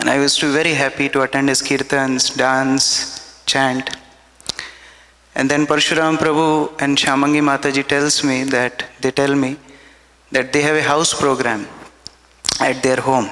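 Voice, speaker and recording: Monotone, flat intonation and very even loudness mark this voice with an Indian accent. It pauses long and often, with noticeable background noise. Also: man, fairly high pitch for a man, moderate pace. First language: Hindi. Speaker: devotee speaker at memorial festival. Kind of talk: devotional testimony. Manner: halting.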